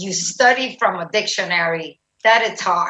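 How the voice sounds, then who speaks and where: A woman speaks with a Spanish accent. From Puerto Rico. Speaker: retired army general and nurse. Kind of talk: interview.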